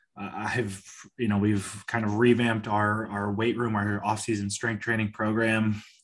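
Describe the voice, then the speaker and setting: Speaking at a moderate pace, a man delivers his words in a fairly low, monotone voice with flat intonation. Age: 20s. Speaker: high school football coach. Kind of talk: interview.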